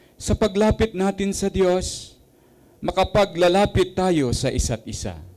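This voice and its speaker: At a fairly slow pace, a man speaks in a high voice with ordinary pitch variation. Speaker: prayer leader; prayer service reader. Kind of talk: fervent prayer. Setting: church. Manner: solemn, fervent, rhythmic. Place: hall.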